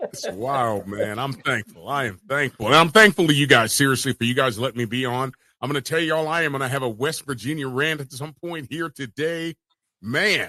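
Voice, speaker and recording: This man talks loudly at a fairly quick pace in an animated tone, his fairly high pitch moving with ordinary variation, his bright, sharp tone heard as a dry, close sound with no echo. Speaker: sports podcast host. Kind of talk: casual sports talk show chat.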